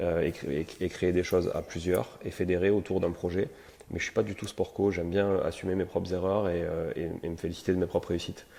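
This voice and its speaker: A man talks at a fairly quick pace in a very deep, low, dark, mellow voice with monotone, flat intonation. The recording is very clean with a silent background. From France, Toulouse. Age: 40s. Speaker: real estate entrepreneur and investor. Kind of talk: podcast interview. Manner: hesitant, many fillers.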